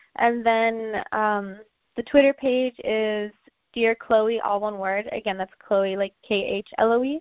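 In an American accent, a normal speaking voice moves at a fairly slow pace with fairly even intonation. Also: woman, fairly high pitch for a woman. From Washington, D.C. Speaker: filmmaker and photographer. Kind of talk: interview.

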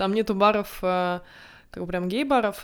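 Her pitch is medium and her pace very fast. The woman is heard in a very clean recording with a silent background. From Estonia, Narva (Russian-speaking). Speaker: podcast co-host. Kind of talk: casual chat. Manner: hesitant, with filler sounds.

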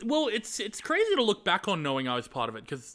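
The man speaks with an Australian accent. His tone is bright and sharp. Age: 20s. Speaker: YouTube video editor. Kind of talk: casual chat.

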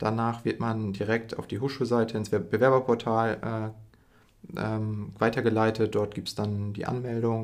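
Monotone and flat, a man speaks at medium pitch and a moderate pace. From northern Germany, Emden (East Frisia). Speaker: university student. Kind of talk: casual podcast chat.

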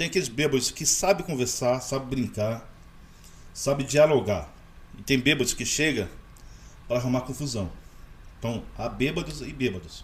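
With vocal fry and lively intonation, a man at a medium pitch speaks at a moderate pace, leaving long, frequent pauses. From Rio de Janeiro state, Maricá. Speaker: hot dog vendor. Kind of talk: casual chat. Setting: studio.

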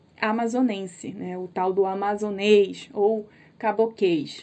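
A woman speaks at a very slow pace. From Brazil, interior of Amazonas (Tabatinga). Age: 30s. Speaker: podcast host. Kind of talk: casual chat. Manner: animated.

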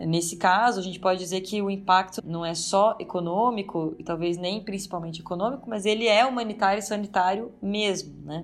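A woman speaks with hardly any pauses at a medium pitch. She has an ordinary speaking voice. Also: fairly even intonation, fairly quick pace. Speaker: political scientist and professor. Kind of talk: interview.

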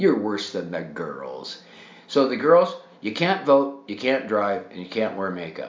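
A man speaks at a fairly slow pace with a fairly low pitch. His voice has very wide pitch swings and big swings in loudness. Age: 70s. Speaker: podcaster and military veteran. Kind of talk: rant monologue. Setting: home bathtub. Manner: animated.

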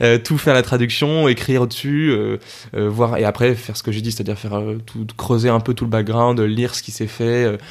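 Here a man speaks at a medium pitch and moderate pace. His intonation is fairly even. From Paris region, France (Argenteuil). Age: 20s. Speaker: opera tenor singer. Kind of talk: casual interview chat. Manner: casual, slangy with many hesitations.

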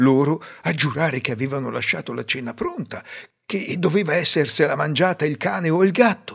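Animated in tone, a man talks at a moderate pace with fairly high pitch, lively intonation and vocal fry. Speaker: fairy tale narrator. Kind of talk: fairy tale storytelling, scripted narration. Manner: animated, expressive, voicing characters in dialogue.

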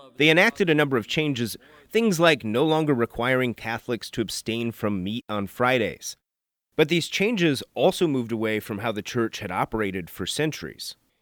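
A man with an American accent talks at a fairly quick pace in a medium pitch with lively intonation, an unremarkable speaking voice. The recording is very clean with a silent background and a dry, close sound with no echo. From US Midwest. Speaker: news reporter and podcast host. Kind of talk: scripted narration.

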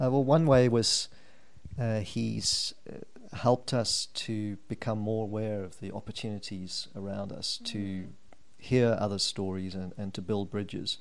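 Through audible room echo, a man speaks at a fairly slow pace in a fairly low pitch, keeping his intonation fairly even. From England, Norwich. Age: 50s. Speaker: church member. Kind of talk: testimony.

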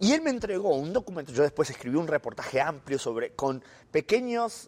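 Very wide pitch swings in a man's voice at a moderate pace. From Argentina. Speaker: journalist, former Vatican correspondent. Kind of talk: interview.

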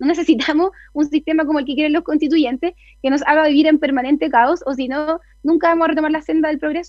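A woman talks at a very fast pace with a high pitch and fairly even intonation. Her Chilean accent comes through in a dry, close sound with no echo. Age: 20s. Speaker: political candidate and lawyer. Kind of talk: radio interview. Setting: video call into radio show.

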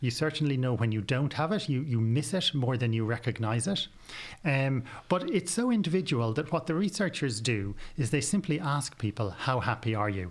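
A man in an Irish accent at medium pitch, lively intonation, very even loudness and a moderate pace, in a very clean recording with a silent background. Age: 40s. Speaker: psychiatrist and author. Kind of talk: interview.

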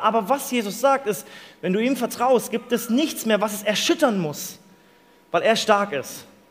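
A man speaks at an extremely high pitch. He keeps a moderate pace with ordinary pitch variation. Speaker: preacher. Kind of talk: sermon to a live youth audience. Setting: live in a room with audience. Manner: lively, conversational, explains with everyday examples; warm, earnest, inviting.

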